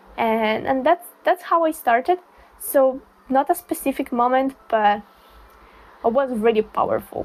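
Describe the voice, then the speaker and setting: A woman with an Italian accent speaks slowly-ish at a high pitch, with ordinary pitch variation and long, frequent pauses. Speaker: booktuber. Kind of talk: casual chat.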